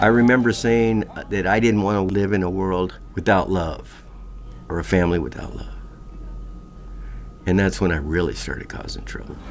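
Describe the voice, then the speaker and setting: With an American accent, a man with a very deep, low pitch speaks with long, frequent pauses, amid noticeable background noise and audible room echo. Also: ordinary pitch variation, moderate pace. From US Rocky Mountain region. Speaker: homeless man. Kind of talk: testimony.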